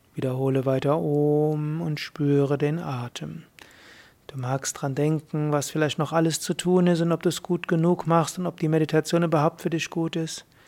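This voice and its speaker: This woman has a very deep, low pitch and a dark, mellow tone. Her delivery is calm and soothing, with monotone, flat intonation. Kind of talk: guided meditation. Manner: slow, calm and soothing, with long pauses between short instructions; gentle, unhurried, repetitive breath-paced cues.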